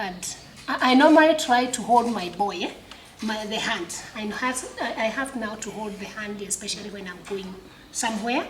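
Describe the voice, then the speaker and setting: A woman with a fairly high pitch talks at a moderate pace, her loudness swinging widely. Noticeable background noise and audible room echo surround her voice. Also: ordinary pitch variation. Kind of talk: interview testimony. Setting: sports club.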